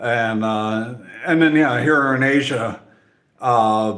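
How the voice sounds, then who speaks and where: A man with a medium-pitched voice speaks at a fairly slow pace. Some room echo can be heard. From Central Europe. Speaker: nature content creator. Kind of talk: casual Q&A talk to camera. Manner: halting, many fillers and repeats.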